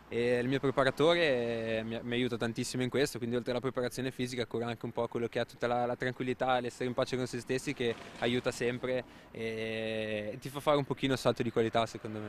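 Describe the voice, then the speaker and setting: A man talks at a very fast pace in a monotone, flat intonation. The sound is dry with no echo, with light background noise. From Genoa, Italy; Italy. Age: 20s. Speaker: motorcycle racer. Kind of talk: interview. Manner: halting, repeats words. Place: street. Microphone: handheld.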